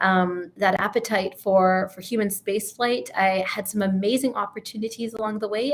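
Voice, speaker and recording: A woman with a Canadian accent speaks at a medium pitch with fairly even intonation. Hers is a plain, everyday voice. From Canada. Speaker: physician and astronaut candidate. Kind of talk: interview.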